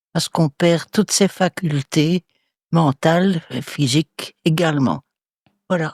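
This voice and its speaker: A woman with a fairly low pitch talks at a very slow pace, with long, frequent pauses and fairly even intonation, in a dry, close sound with no echo. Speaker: retirement home resident. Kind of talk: interview.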